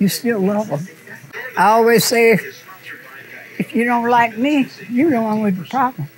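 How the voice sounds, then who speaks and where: Music plays in the background as a woman speaks at a fairly high pitch with lively intonation and long, frequent pauses. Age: 80s+. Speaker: barber shop owner. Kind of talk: documentary interview answer.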